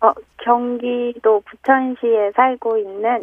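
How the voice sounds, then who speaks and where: The speech moves at a very slow pace. Its intonation stays monotone and flat. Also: woman, high pitch for a woman. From Bucheon, Gyeonggi Province. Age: 40s. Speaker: radio call-in quiz contestant. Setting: phone.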